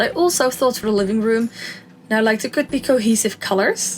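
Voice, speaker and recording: Music plays behind a woman with a non-native accent who speaks at a moderate pace, her medium pitch showing ordinary variation. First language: not English. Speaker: Sims speed-build YouTuber. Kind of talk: casual gameplay commentary. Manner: chatty, with many fillers.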